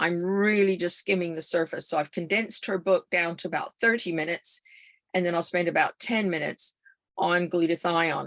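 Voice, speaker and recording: Fairly quick and fairly even in intonation, a woman speaks at a fairly low pitch with an American accent. The sound is dry and close, with no echo. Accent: American, noticeable in the UK. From California. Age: 70s. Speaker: health speaker. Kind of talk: webinar presentation. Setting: online webinar.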